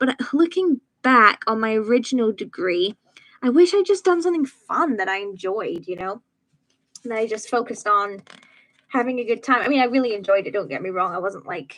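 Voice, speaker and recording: At a fairly quick pace, a woman talks in a fairly high pitch with very wide pitch swings. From Scotland, Edinburgh. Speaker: youtuber. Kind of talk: casual livestream chat. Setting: home livestream on laptop. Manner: chatty, filler-heavy. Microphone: laptop.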